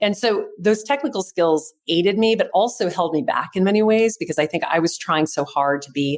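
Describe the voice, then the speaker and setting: A woman in an ordinary speaking voice, with lively intonation and a fairly quick pace. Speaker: charity auctioneer. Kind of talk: interview answer.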